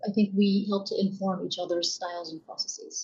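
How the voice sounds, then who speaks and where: Her tone is dark and mellow, somewhat breathy, at a medium pitch. The woman's intonation is monotone and flat. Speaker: portfolio manager. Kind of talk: interview. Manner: calm.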